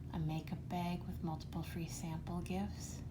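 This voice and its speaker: A soft-spoken woman talks at a fairly slow pace in a gentle tone. Noticeable background noise runs behind her. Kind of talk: ASMR makeup bag and purge, casual talk to camera. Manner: soft-spoken, gentle.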